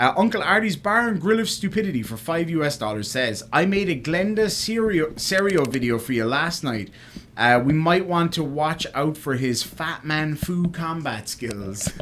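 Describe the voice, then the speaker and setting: Speaking at a moderate pace with hardly any pauses, a man with an Irish accent uses a fairly high voice whose pitch swings very widely. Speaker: livestreamer. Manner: reads viewer super chats aloud.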